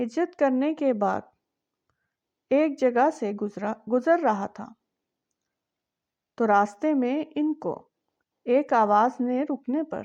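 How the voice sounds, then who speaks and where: Using ordinary pitch variation, a woman speaks at a high pitch. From Pakistan. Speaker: voice-over artist. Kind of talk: religious story narration.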